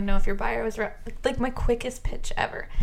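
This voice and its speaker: A woman with an American accent talks very fast with ordinary pitch variation. There is noticeable background noise. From US Midwest. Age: 20s. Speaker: supplier rep, former bartender. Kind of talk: casual chat.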